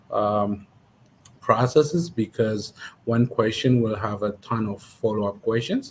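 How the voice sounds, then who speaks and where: At a fairly slow pace, a man with a strong Ethiopian accent speaks in a somewhat breathy voice of medium pitch. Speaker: immigration paralegal. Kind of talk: interview. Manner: hesitant, many fillers.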